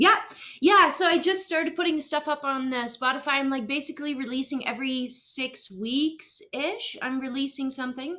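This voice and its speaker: Speaking at a moderate pace in a Dutch accent, a woman uses a raised, projected voice with a bright, sharp tone, a high pitch, and ordinary pitch variation. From Netherlands. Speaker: singer-songwriter. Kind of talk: casual interview. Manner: halting, many fillers.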